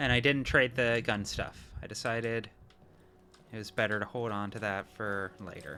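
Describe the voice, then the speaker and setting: Here a man has an ordinary speaking voice at a medium pitch. His loudness swings widely while his intonation stays fairly even, at a moderate pace. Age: 30s. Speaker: streamer. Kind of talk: gameplay commentary.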